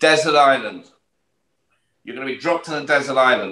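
Quick-fire at a very fast pace, a man with a British accent and bright, sharp tone speaks in audible room echo with light background noise. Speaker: podcast co-host. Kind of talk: casual chat. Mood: playful, joking. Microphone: video call.

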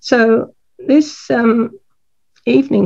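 A woman speaks with a dark, mellow tone and vocal fry. The background is quiet. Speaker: botanical artist. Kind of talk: art demonstration. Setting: video call. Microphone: video call.

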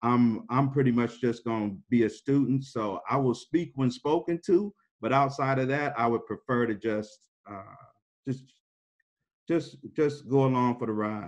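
The pace is fairly slow, with ordinary pitch variation. The background is quiet. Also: man. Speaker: panelist, former student. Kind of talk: casual panel discussion. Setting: video call. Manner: casual. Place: home room. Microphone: video call.

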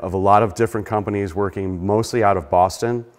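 A man over a quiet background. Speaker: lecturer giving a history talk. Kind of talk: informal presentational. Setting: church hall presentation. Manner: fast talker. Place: church.

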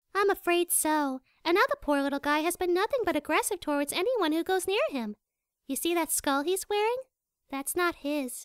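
An extremely high voice moves at a moderate pace on a very clean recording with a silent background.

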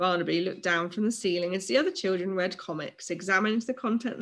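A natural reading voice carries typical ups and downs in pitch.

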